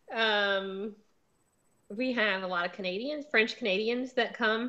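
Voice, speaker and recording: Against a quiet background, a woman with a Southern US accent speaks fairly slowly at a fairly high pitch in a bright, sharp tone. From US South. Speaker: book show host. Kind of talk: casual chat.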